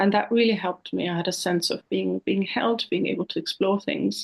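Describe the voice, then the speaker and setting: A woman speaks at a fairly quick pace in an Austrian accent. Her voice has vocal fry. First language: German. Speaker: counsellor. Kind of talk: interview. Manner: hesitant, with frequent repetitions.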